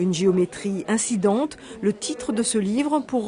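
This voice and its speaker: A woman's fairly high, lively voice over noticeable background noise. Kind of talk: TV news report narration.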